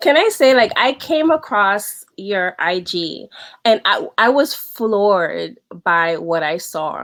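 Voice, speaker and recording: At a very slow pace, a woman with a slight New York accent speaks at a medium pitch with very wide pitch swings. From New York City, the Bronx. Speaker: wardrobe stylist. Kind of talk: casual chat. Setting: video call.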